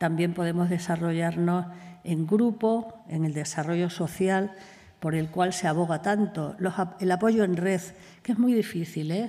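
A woman speaks in a fairly low voice with a dark, mellow tone and ordinary pitch variation. Behind her the background is quiet. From Extremadura, Spain. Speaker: clinical psychologist; conference speaker. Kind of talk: conference talk. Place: hall. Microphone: podium.

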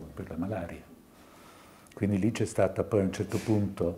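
A man with a dark, mellow tone sounds somewhat breathy, keeping his intonation fairly even. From Tuscany, Italy. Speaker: psychiatrist; lecturer. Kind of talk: lecture. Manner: halting. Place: hall. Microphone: podium.

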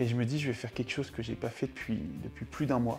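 Music plays in the background. Over it, a man talks at a fairly quick pace. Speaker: comedy youtuber. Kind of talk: mock documentary interview answer. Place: home room.

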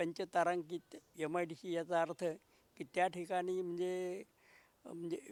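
Dry and close with no echo, a man speaks in a high voice. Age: 70s. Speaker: local party veteran. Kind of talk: interview.

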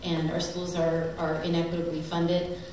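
In a room with strong echo and light background noise, a woman speaks at a fairly low pitch with monotone, flat intonation. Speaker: politician. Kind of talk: speech at a teach-in panel. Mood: critical, persuasive. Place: hall. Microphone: camera far.

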